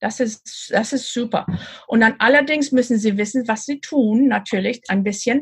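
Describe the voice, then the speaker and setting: This woman talks at a fairly high pitch with ordinary pitch variation. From Namibia. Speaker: e-commerce coach. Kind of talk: interview. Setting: video call from a houseboat. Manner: slow, halting with many fillers.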